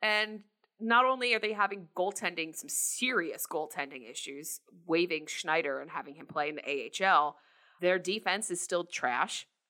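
A woman with an American accent speaks at a fairly low pitch with a bright, sharp tone. Her pace is fairly slow and her intonation lively. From New Jersey. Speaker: hockey blog editor and podcast co-host. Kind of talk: casual chat.

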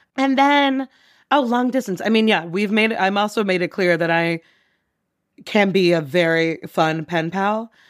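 The speaker sounds animated, with lively intonation and very even loudness. The recording is very clean, with a silent background. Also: woman, medium pitch for a woman. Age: 30s. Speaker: advertising worker. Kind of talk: casual chat.

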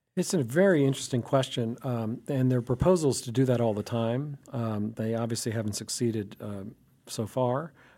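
A man speaks at a moderate pace with a dark, mellow tone, a medium pitch and ordinary pitch variation, hardly pausing at all, on a very clean recording with a silent background. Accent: American. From US South, Alabama. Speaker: law professor. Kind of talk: casual chat.

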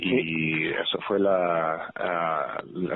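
A man with a very deep, low pitch speaks over noticeable background noise. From New York, Puerto Rican family. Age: 40s. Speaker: former professional basketball player. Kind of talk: interview. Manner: halting, many fillers.

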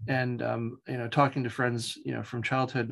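At a fairly quick pace, a man with a medium pitch and a slight Long Island accent speaks in a monotone, flat intonation. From Long Island, New York (East End). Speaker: professor (anthropologist) and aviation photographer. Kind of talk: interview conversation. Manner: hesitant, many fillers.

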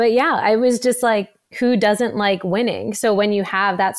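Speaking with an American accent, a woman with an unremarkable speaking voice keeps a moderate pace and ordinary pitch variation. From US, New Jersey. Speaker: professional runner. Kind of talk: interview, casual.

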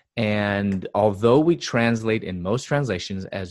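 Against a quiet background, a man with a Chicago accent talks at a fairly slow pace in a fairly low pitch with lively intonation. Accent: Chicago American English. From US Midwest, Chicago. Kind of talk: interview.

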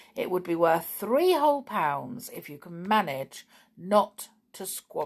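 The speaker reads in an unforced reading voice.

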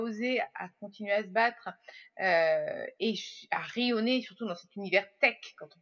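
A woman with a plain, everyday voice, a fairly high pitch and lively intonation. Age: 30s. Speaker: podcaster and social media consultant. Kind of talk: casual interview.

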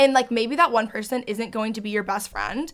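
In a very clean recording with a silent background, a woman speaks at a high pitch with ordinary pitch variation. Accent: American. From Texas. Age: 20s. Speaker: YouTuber and podcaster. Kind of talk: casual chat. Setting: studio. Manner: talkative.

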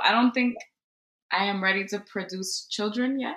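A woman's medium-pitched voice with a bright, sharp tone and an American accent. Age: 20s. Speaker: teacher. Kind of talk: casual chat.

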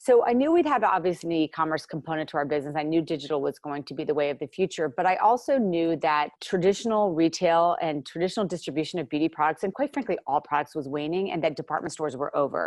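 Against a quiet background, the very fast speech runs with hardly any pauses and lively intonation. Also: woman, fairly low pitch for a woman. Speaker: company founder. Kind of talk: casual interview. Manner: fast talker.

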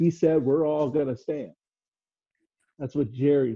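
This man's fairly high, somewhat breathy voice moves at a fairly slow pace. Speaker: co-host. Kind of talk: casual chat about football.

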